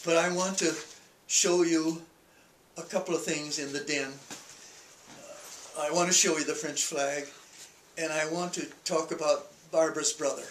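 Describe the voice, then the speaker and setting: A man with an American accent talks at a moderate pace with long, frequent pauses, his fairly high voice monotone and flat, amid audible room echo and light background noise. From Minnesota, USA. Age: 80s+. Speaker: World War II veteran. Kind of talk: oral history interview. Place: home room. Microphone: camera far.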